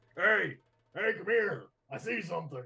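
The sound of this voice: A man does a put-on character voice at a moderate pace. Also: high pitch for a man.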